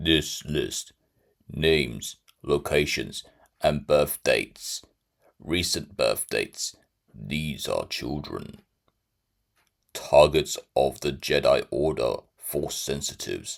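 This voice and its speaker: A man's put-on character voice, very slow, with long, frequent pauses. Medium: read story. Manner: cold, clipped.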